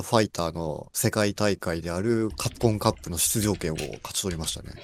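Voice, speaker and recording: Here a man with an unremarkable speaking voice talks at a moderate pace and fairly low pitch. The recording is very clean, with a silent background. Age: 20s. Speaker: programmer. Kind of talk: casual chat.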